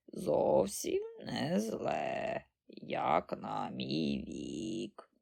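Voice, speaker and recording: A man's put-on character voice, raspy and croaky, at a very slow pace. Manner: cheeky, sprightly.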